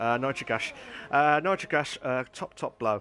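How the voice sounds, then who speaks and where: A medium-pitched man with an English Midlands accent, music playing in the background. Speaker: sim racing league host and commentator. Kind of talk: live commentary. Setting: live stream. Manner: halting, with many fillers.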